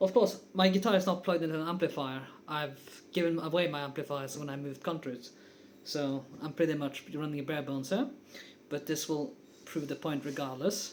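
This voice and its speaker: Speaking at a fairly quick pace with a non-native accent, a man has a fairly high pitch and ordinary pitch variation. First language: not English. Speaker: guitar teacher. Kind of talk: tutorial. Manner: casual, with frequent fillers.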